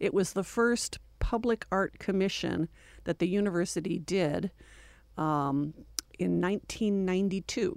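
A plain, everyday voice with an American accent speaks at a fairly slow pace and with ordinary pitch variation. The recording is very clean, with a silent background. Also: woman, medium pitch for a woman. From New York State, Finger Lakes area. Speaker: university art gallery director. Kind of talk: radio interview. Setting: radio studio.

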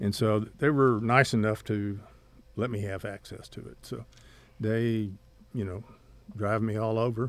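This man has a Texas accent and speaks at a fairly slow pace with a flat, monotone delivery and long, frequent pauses. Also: fairly low pitch for a man. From West Texas (Odessa). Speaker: oil painter and retired art teacher. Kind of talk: interview. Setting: studio. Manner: halting.

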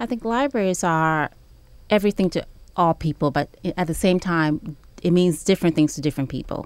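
With an American accent and a plain, everyday voice, a woman speaks at a fairly quick pace and a fairly low pitch, her intonation lively, on a very clean recording with a silent background. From Ghana, then New York City from age 11. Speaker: public library director. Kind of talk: radio interview.

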